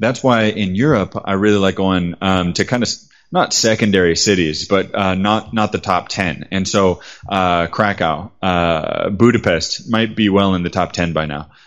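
A plain, everyday voice, a man with a fairly low pitch and an American accent, at a moderate pace with ordinary pitch variation. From United States. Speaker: travel guide and writer. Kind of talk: interview.

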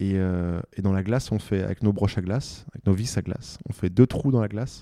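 In a very clean recording with a silent background and a dry, close sound with no echo, a man speaks at a fairly quick pace in a fairly low, dark, mellow voice with ordinary pitch variation. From Paris, France. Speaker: mountaineer and mountain guide. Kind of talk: interview storytelling. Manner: hesitant, many fillers and repetitions.

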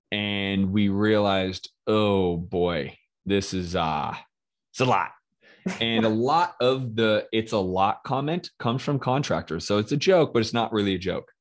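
Against a quiet background, a man with an unremarkable speaking voice talks at a fairly slow pace, fairly low in pitch, with very even loudness and lively intonation. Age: 40s. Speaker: real estate investor. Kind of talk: casual interview. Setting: live video stream.

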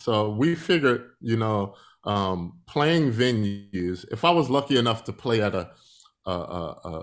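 A man with an American accent has a normal speaking voice at a fairly low pitch. His intonation is lively, and the recording is very clean with a silent background. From Philadelphia, US. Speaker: musician and entrepreneur. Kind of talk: interview.

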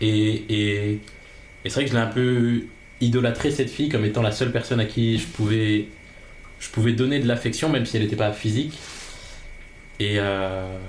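Speaking at a moderate pace with long, frequent pauses, a man keeps a very even loudness and fairly even intonation against audible room echo. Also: medium pitch for a man. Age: 20s. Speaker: podcast guest. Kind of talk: personal interview.

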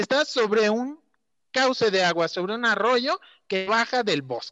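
In a Mexican accent, a man projects a raised, high-pitched voice with a bright, sharp tone and lively intonation, recorded dry and close with no echo. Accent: Mexican Spanish (Jalisco). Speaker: local environmental activist on social media. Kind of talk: casual chat.

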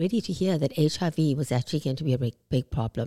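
Speaking at a fairly quick pace in a South African accent, a woman has a very deep, low pitch, a dark, mellow tone and ordinary pitch variation, recorded dry and close with no echo. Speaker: aesthetics clinic CEO. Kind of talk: interview.

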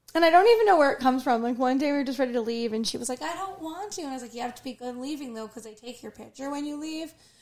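Over noticeable background noise, a high-pitched woman talks at a very fast pace with hardly any pauses, lively intonation and big swings in loudness. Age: 40s. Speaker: podcast co-host. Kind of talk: casual chat.

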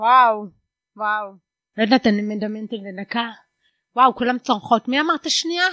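A woman talks fairly quickly in a fairly high, bright, sharp voice with ordinary pitch variation and long, frequent pauses. The background is quiet and the sound dry and close, with no echo. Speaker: stand-up comedian and lecturer. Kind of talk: casual chat. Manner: hard of hearing since early childhood.

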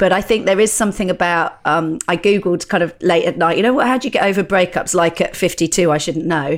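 A woman with an English accent and medium pitch speaks at a fairly quick pace with hardly any pauses, ordinary pitch variation and very even loudness, on a very clean recording with a silent background. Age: 50s. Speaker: stand-up comedian. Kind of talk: casual chat.

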